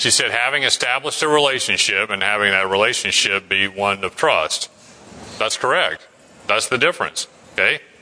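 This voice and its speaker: A man speaks at a medium pitch and a moderate pace, with ordinary pitch variation, very even loudness and noticeable background noise. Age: 40s. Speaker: Bible study class leader. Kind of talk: Bible study class discussion. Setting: church classroom, streamed online.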